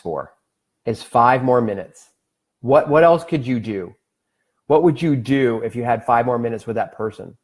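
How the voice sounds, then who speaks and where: In a normal speaking voice, a man talks at a moderate pace with lively intonation on a very clean recording with a silent background. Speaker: wellness livestream host. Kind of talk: live stream talk.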